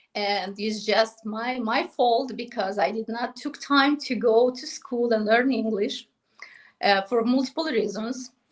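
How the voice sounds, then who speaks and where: A woman's fairly high voice with a non-native accent, at a fairly slow pace. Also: ordinary pitch variation. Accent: foreign. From Moldova. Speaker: real estate agent. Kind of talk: podcast interview. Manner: halting.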